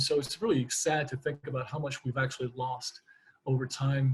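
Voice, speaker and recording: A man talks at a fairly quick pace in a somewhat breathy voice. His intonation is monotone and flat. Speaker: naturopathic physician. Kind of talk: lecture. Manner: fast; halting, many repetitions.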